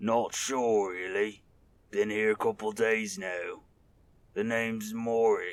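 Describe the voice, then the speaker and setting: A man speaks in a put-on character voice at a medium pitch, keeping his intonation fairly even and his pace fairly slow. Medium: read story.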